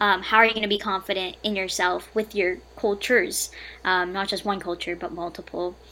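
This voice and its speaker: A woman with an American accent talks fairly quickly in a bright, sharp tone. Her medium-pitched voice stays monotone and flat. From US, Filipino American family. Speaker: college student and mental health writer. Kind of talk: casual chat.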